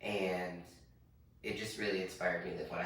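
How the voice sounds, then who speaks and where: With an American accent, a man speaks at a very fast pace in a very deep, low pitch, with noticeable background noise and audible room echo. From US Midwest, Wichita, Kansas. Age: 20s. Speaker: drag performer. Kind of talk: interview.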